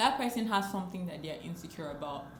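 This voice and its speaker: A woman's animated voice at a medium pitch with lively intonation and a very fast pace, with noticeable background noise and audible room echo. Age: 20s. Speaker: lifestyle vlogger. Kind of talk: advice talk to camera.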